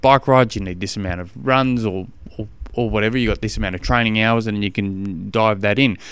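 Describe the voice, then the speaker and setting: At a fairly quick pace, a man with an Australian accent speaks in a fairly low voice with fairly even intonation. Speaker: triathlon coach podcast host. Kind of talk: solo podcast monologue. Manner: fast; casual, halting with fillers.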